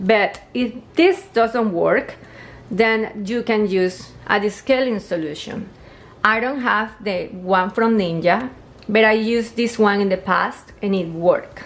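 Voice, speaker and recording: Her voice is fairly high, with ordinary pitch variation. The woman talks at a fairly slow pace. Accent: non-native. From Colombia. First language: Spanish. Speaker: home appliance video maker. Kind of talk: tutorial. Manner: casual, slightly halting.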